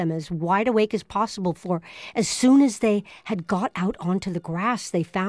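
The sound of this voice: The pitch moves in an ordinary way through this unforced reading voice.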